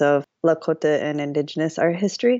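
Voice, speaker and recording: A woman speaks at a moderate pace in a normal speaking voice, her fairly low pitch moving with ordinary variation. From US Midwest, Madison, Wisconsin. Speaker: painter and mixed-media artist. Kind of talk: interview conversation. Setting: remote call.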